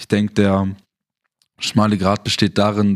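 Using a plain, everyday voice, a man with a fairly low pitch speaks at a moderate pace. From southern Germany. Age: 20s. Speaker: photographer and videographer. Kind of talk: interview.

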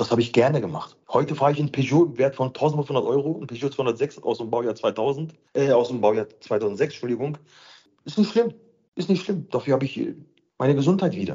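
Somewhat breathy, the man speaks with a fairly high pitch. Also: lively intonation, fairly quick pace. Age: 40s. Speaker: dental patient sharing his experience. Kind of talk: interview. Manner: halting.

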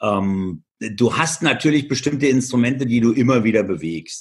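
With a plain, everyday voice, a man talks at a moderate pace and medium pitch, varying it in an ordinary way. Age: 50s. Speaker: entrepreneur, speaker and author. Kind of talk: interview.

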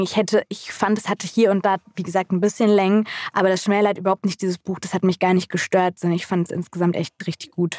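The voice belongs to a woman. She delivers every line with monotone, flat intonation. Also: dry, close sound with no echo. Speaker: podcast co-host, book talk. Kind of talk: casual chat.

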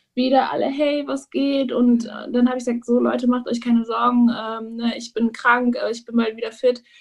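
With fairly even intonation, a high-pitched woman talks at a moderate pace. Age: 30s. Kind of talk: interview. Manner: hesitant with many fillers.

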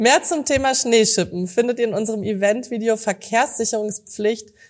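Speaking at a moderate pace, a woman uses a plain, everyday voice with ordinary pitch variation. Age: young. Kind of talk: scripted outro; casual interview.

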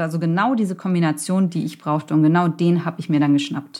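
The pitch varies in an ordinary way in an unremarkable speaking voice. The background is silent and the recording very clean. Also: woman. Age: 40s. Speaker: startup founder and consultant. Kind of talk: interview. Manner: casual, many fillers.

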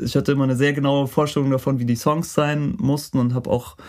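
Using a dark, mellow tone and fairly even intonation, a man talks at a fairly quick pace. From Franconia, Bavaria. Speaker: songwriter and music producer. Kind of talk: interview.

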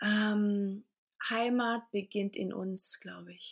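Medium pitch from a woman, fairly even intonation, and a very clean recording over a silent background. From Portugal, near Lisbon, then Germany from age 4. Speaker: coach, women's circle leader. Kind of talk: podcast interview.

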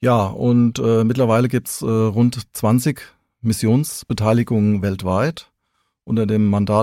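In a very clean recording with a silent background, a man talks with a fairly low pitch, a dark, mellow tone and ordinary pitch variation. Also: dry, close sound with no echo. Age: 50s. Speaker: senior police officer. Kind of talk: interview. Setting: studio.

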